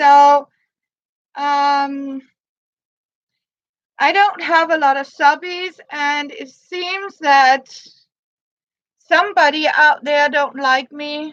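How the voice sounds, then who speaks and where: A woman's high voice at a very slow pace, with long, frequent pauses, big swings in loudness and a fairly even intonation. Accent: Danish. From Denmark. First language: Danish. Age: 50s. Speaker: crafts livestreamer. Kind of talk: casual livestream chat. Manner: halting.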